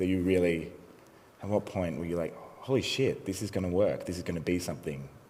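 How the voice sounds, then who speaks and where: A man with an Australian accent speaks with audible room echo. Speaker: interviewer. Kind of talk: onstage interview. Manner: mumbling.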